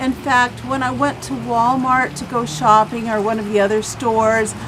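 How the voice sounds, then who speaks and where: A woman with an American accent and a fairly high pitch speaks at a moderate pace with ordinary pitch variation over noticeable background noise. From US Midwest, southern Illinois. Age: 60s. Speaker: patient giving testimonial. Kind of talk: testimony.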